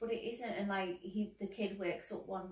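Audible room echo surrounds a woman as she speaks. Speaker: co-host film reviewer. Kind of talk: film review commentary. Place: home room.

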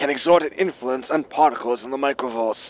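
Speaking at a moderate pace, a man adopts a put-on, raspy character voice. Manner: grim, scolding, threatening.

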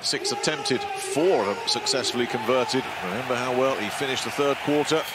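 Over noticeable background noise, the words come at a fairly quick pace. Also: man. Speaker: sports commentator. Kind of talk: live basketball commentary. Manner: excitable at big plays.

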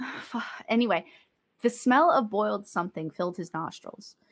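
The voice is a natural reading voice with lively intonation. Behind it the background stays quiet.

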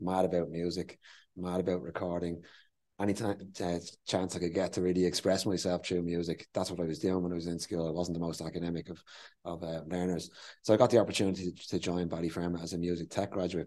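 Very fast and monotone, a man talks with a flat intonation, a very deep, low pitch and a dark, mellow tone. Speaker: interviewee. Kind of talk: interview answer. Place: meeting room. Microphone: lapel.

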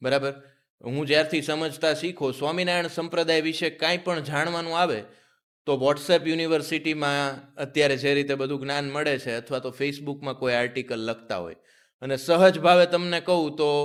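Delivered with fairly even intonation, it is a normal speaking voice. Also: man, fairly high pitch for a man. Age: 20s. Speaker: podcast host. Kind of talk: interview.

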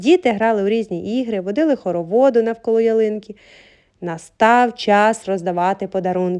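The words come out in an unforced reading voice.

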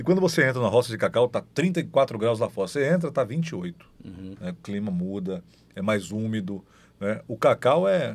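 The man's voice has a medium pitch and a moderate pace. It swings very widely in pitch. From southern Bahia, Brazil. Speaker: podcast host. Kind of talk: casual chat.

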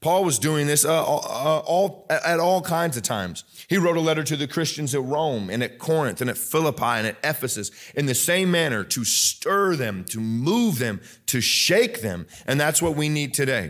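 The setting behind the speaker is quiet. A man talks at a moderate pace. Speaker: pastor. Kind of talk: sermon. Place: church.

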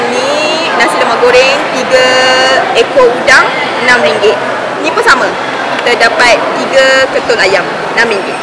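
A woman speaks at a very slow pace, with long, frequent pauses and ordinary pitch variation. Loud background noise runs underneath. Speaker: food reviewer. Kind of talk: casual vlog chat. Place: cafe. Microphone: camera far.

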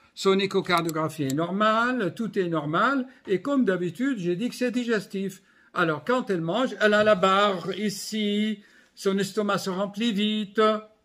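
Over a quiet background, a man speaks in a raised, projected voice with a bright, sharp tone, lively intonation, and a fairly slow pace. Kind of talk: casual vlog chat. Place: home room. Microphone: phone near.

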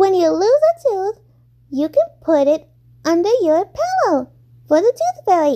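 Doing a cartoonish character voice, a woman speaks at a moderate pace with an extremely high pitch, very wide pitch swings and long, frequent pauses, the sound dry and close with no echo.

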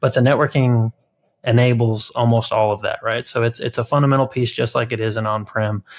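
With an American accent, a man of medium pitch speaks with fairly even intonation. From Kentucky, US. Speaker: podcast co-host. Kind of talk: casual chat. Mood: relaxed, festive. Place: home room.

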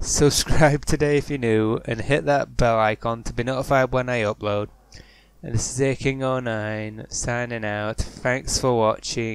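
With an unremarkable speaking voice, a man talks at a fairly slow pace in a medium pitch, his intonation fairly even. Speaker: gaming YouTuber. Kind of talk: casual gameplay commentary.

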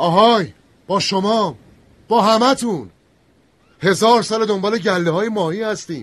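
A man puts on a shaky, high-pitched character voice. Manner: pleading, defiant.

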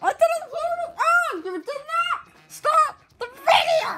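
A cartoonish character voice at an extremely high pitch speaks at a fairly slow pace. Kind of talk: comedic puppet skit. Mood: playful, joking.

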